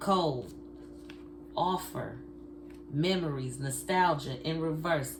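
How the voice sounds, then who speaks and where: A woman speaks at a very slow pace. Audible room echo and noticeable background noise surround her. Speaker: tarot card reader. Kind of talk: tarot reading. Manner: casual, conversational.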